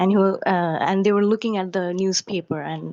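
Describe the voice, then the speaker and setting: This woman has a medium-pitched voice and a non-native accent. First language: not English. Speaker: caller to a livestream. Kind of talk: casual question on a stream call. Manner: halting, with self-corrections.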